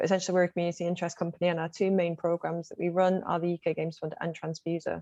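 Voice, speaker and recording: A woman with a Mancunian accent talks at a very fast pace in a flat monotone, her pitch fairly low. The sound is dry and close, with no echo. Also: quiet background. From Manchester, northern England. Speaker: games fund community manager. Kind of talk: online panel talk.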